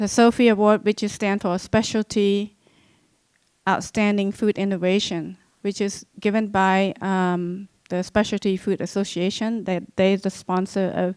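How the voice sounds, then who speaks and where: In a very clean recording with a silent background, a woman with a non-native accent speaks at a fairly slow pace in a medium pitch, her intonation monotone and flat. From Cambodia. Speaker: genocide survivor and author. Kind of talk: lecture. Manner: halting, many fillers.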